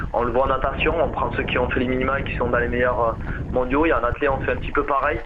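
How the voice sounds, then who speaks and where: With a southwestern French accent, a man speaks at a very fast pace amid noticeable background noise and audible room echo. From southwest France, Agen. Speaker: marathon runner. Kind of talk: radio interview.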